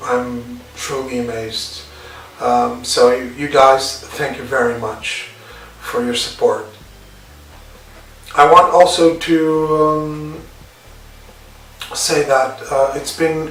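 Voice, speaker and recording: Amid noticeable background noise and audible room echo, a man with a fairly high voice speaks at a very slow pace with long, frequent pauses, big swings in loudness and ordinary pitch variation. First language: not English. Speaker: scale modeler, YouTuber. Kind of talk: video introduction. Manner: halting, many fillers.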